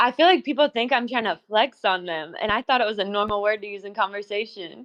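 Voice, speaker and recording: A woman with an unremarkable speaking voice talks in a fairly high pitch with ordinary pitch variation. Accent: American. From US South. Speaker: podcast guest. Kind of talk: casual chat.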